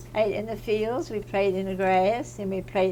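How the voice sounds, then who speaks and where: With audible room echo around her, a woman talks at a middling speed. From Virginia Eastern Shore, Hog Island. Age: 80s+. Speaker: oral history interviewee. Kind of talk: oral history interview.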